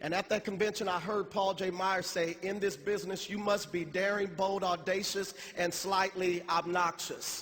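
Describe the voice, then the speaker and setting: A man at a moderate pace, high-pitched and monotone with flat intonation, over noticeable background noise. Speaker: motivational speaker. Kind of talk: motivational speech. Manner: halting; emotional.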